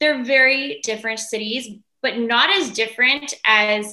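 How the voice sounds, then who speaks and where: A woman speaks with a Californian accent in a fairly high voice. Her tone is bright and sharp. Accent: General American, Californian. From Los Angeles. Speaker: entertainer. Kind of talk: casual chat.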